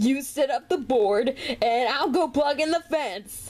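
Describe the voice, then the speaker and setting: A put-on character voice unfolds at a fairly slow pace. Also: woman, high pitch for a woman. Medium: dub. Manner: excited, upbeat.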